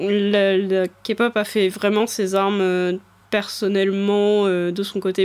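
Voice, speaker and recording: On a very clean recording with a silent background, a woman speaks in a monotone, flat intonation at a medium pitch. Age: 20s. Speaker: podcast co-host. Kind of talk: casual chat.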